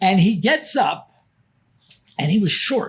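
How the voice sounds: A man speaks slowly in a high-pitched voice with a husky, rough edge. His tone is fairly bright, and his pitch swings widely.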